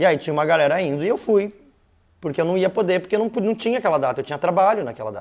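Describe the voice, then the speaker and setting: Very fast talk from a man at a high pitch, with lively intonation. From Curitiba, southern Brazil. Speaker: musician. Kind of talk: casual interview chat.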